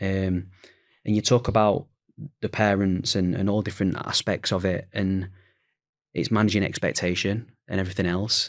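In a very clean recording with a silent background, a man with a Yorkshire accent talks at a moderate pace in a monotone, flat intonation, with long, frequent pauses. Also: fairly low pitch for a man. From Sheffield, England. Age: 20s. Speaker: football academy recruitment manager. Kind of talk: casual discussion.

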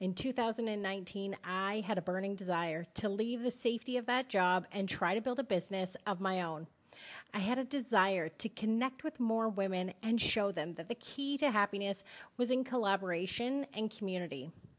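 Speaking in a Canadian accent at a moderate pace, a woman uses a normal speaking voice at medium pitch with ordinary pitch variation. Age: 40s. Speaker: podcast host. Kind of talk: scripted podcast intro monologue.

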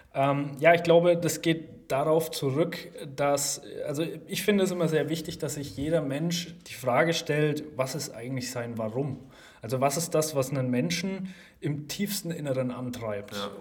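The speaker talks at a moderate pace with ordinary pitch variation. There is audible room echo and noticeable background noise. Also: man, fairly high pitch for a man. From Germany, Lower Franconia. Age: 20s. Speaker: startup founder and CEO. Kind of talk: casual interview.

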